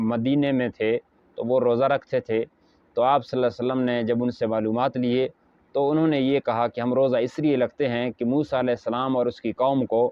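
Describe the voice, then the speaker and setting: This man's pitch sits in a medium range. He speaks in a monotone, flat intonation. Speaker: Islamic scholar. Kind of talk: religious sermon to camera.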